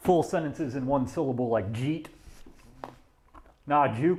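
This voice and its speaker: A man with a Deep South accent, fairly slow, lively in intonation, with long, frequent pauses. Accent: slurs syllables together, Deep South. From US South. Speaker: woodworker streamer. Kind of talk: casual livestream chat while working. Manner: slurred, runs words together.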